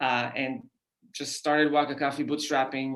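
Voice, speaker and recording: A man talks in an Israeli accent at a medium pitch. His pace is moderate. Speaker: company founder. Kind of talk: podcast interview. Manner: hesitant, many fillers.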